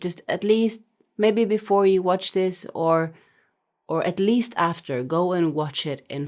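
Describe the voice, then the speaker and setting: Very slow speech in a Norwegian accent, on a very clean recording with a silent background. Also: woman. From Norway. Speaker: music reaction youtuber. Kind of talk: casual talk to camera. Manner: hesitant, many fillers.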